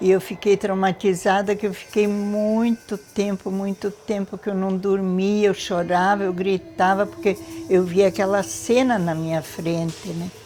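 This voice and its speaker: Noticeable background noise runs behind a woman speaking. Her pitch is medium and her intonation fairly even. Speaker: war survivor. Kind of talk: testimony.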